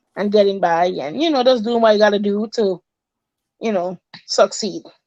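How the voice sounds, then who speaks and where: With a Virgin Islands accent, this moderately paced voice has a dark, mellow tone and lively intonation in a dry, close recording with no echo. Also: woman. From US Virgin Islands, Saint Thomas. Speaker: recreation center worker. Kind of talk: interview.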